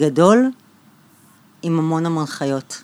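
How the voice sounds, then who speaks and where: The voice belongs to a woman with a fairly low pitch. She speaks at a fairly slow pace with lively intonation. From Israel, Bat Yam. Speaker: architect and interior designer, podcast host. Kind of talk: interview about her life and work. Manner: halting, with repetitions.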